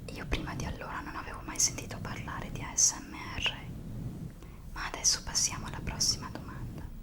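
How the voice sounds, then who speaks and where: Whispering at a fairly quick pace with long, frequent pauses and big swings in loudness, a woman speaks over noticeable background noise. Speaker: ASMR content creator. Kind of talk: ASMR whispering talk to camera. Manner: whispered, soft-spoken.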